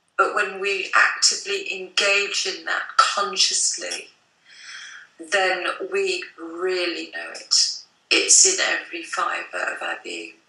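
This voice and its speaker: Amid audible room echo, a woman speaks at a very slow pace, her loudness swinging widely. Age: 60s. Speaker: psychic artist. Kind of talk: interview.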